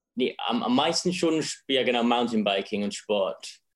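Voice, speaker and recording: A man's medium-pitched voice, a plain, everyday voice, at a fairly slow pace. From England. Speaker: filmmaker. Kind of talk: interview.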